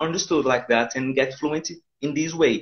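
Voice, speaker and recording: A man with a Portuguese accent speaks at a fairly high pitch. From Brazil, Pernambuco. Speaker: English teacher. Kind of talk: casual interview. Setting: phone call. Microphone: bad connection, cracking.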